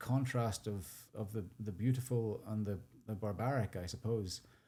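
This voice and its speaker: With a Northern Irish accent, a man speaks in a dark, mellow tone at a fairly low pitch with ordinary pitch variation. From Northern Ireland, rural sheep farm. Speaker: charity founder and CEO. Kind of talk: podcast interview.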